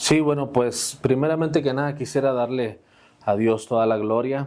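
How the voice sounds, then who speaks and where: Using an ordinary speaking voice, a man talks at a moderate pace with a medium pitch and fairly even intonation. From Mexico, Saltillo, Coahuila. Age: 40s. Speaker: pastor. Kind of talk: testimony.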